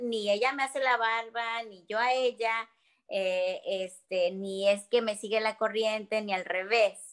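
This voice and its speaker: Fairly slow, fairly even speech from a woman with a fairly high pitch. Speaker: stage actress. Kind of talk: casual interview.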